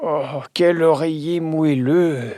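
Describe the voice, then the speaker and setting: The pitch stays in the middle range. It belongs to a put-on character voice. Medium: audio drama.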